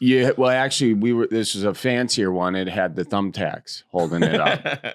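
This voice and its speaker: A man's fairly low, normal speaking voice, with hardly any pauses. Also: ordinary pitch variation, moderate pace. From Midwest. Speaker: comedian and podcast host. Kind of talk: casual podcast conversation.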